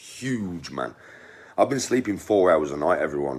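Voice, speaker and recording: A man with a Birmingham accent speaks at a moderate pace. His very deep, low voice moves through very wide pitch swings. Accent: Brummie. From English Midlands, Birmingham. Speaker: online personality. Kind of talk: casual chat.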